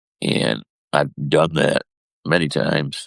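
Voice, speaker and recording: A man's voice shows vocal fry and ordinary pitch variation, heard in a dry, close sound with no echo. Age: 60s. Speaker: husband of the host, injury survivor. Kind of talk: testimony.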